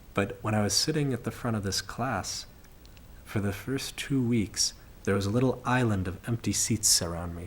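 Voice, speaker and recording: A man speaks at a moderate pace with an American accent. His voice is somewhat breathy, with ordinary pitch variation. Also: fairly low pitch for a man. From United States. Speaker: study abroad student. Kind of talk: testimony.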